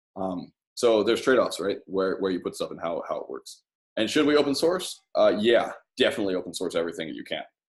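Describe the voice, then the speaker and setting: The speaker is a man with big swings in loudness. He goes at a very fast pace. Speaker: graduate student presenting thesis. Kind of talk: academic presentation. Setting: colloquium with audience.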